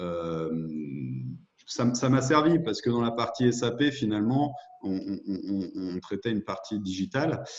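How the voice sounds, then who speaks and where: Speaking at a fairly slow pace, a man with a medium-pitched voice uses lively intonation over noticeable background noise. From France, Lyon region (Beaujolais). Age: 30s. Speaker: entrepreneur, former corporate manager. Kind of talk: interview. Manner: halting, many hesitations.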